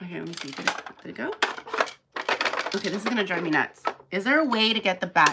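Loud background noise surrounds a woman speaking at a very fast pace. She leaves long, frequent pauses. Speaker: Polly Pocket collector and auctioneer. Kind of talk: live unboxing talk to camera. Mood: mildly frustrated, focused. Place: home room. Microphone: phone near.

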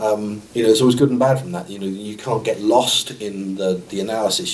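The speaker has a southern English accent and a moderate pace. Light background noise sits underneath. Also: man. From Sussex, England. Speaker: parachute engineer. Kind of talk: interview answer. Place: meeting room.

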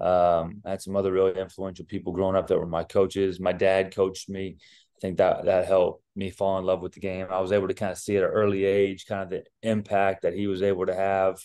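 Against a quiet background, a dark, mellow voice races along at a very fast pace with hardly any pauses and a monotone, flat intonation. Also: man, very deep, low pitch for a man. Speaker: basketball head coach. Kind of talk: interview answer. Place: office. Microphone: video call.

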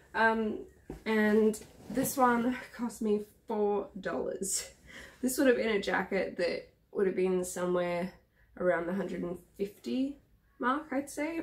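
Very slow, somewhat breathy speech from a woman with a fairly high pitch and an Australian accent. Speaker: vlogger. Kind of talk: casual vlog haul. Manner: chatty, hesitant with many ums. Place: home room. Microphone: camera far.

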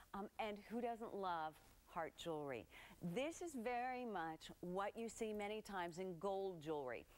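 In a bubbly tone, a woman talks at a moderate pace with a medium pitch and ordinary pitch variation. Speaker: TV shopping channel host. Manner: bubbly, gushing saleswoman, piling up superlatives; chatty and conversational, talking straight to viewers at home. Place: studio. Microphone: lapel.

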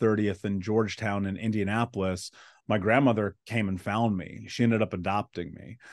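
The speech moves at a moderate pace with fairly even intonation against a quiet background. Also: man. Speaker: interview guest. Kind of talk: interview answer. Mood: calm, serious storytelling. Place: home room. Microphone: studio mic.

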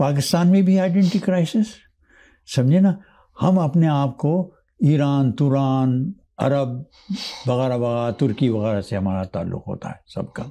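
At a fairly slow pace and with long, frequent pauses, a man speaks in a fairly high, dark and mellow voice whose pitch swings very widely. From Pakistan (born Hyderabad Deccan, India); Pakistan. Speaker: retired lawyer, immigrant; retired lawyer. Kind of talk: interview storytelling. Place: studio. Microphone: lapel.

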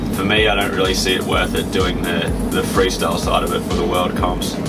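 The speaker talks at a fairly quick pace. Clear music plays in the background. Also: man. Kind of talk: interview answer. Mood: relaxed, content. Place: home room.

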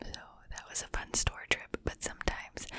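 A soft-spoken woman whispering at a moderate pace, with a dry sound and no echo. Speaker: ASMR creator. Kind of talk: soft ASMR chat and trigger words. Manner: soft close-mic whisper, rambling. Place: home room. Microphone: studio mic.

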